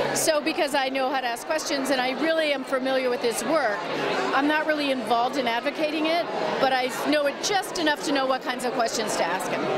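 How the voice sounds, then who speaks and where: Over crowd noise in the background, a woman talks at a fairly quick pace with a high pitch, ordinary pitch variation and very even loudness. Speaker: national radio news show host. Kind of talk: interview answer.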